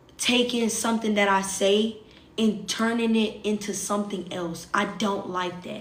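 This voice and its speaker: Amid noticeable background noise and audible room echo, a woman speaks at a fairly slow pace with a medium pitch and monotone, flat intonation. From US South. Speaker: social media livestreamer. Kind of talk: casual livestream chat.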